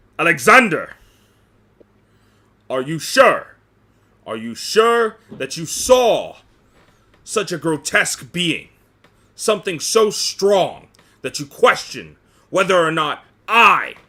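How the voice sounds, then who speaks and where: A man uses a put-on character voice, pitched high with very wide pitch swings. His loudness swings a lot, and he leaves long, frequent pauses. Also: fairly slow pace. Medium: actual play. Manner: commanding, resolute.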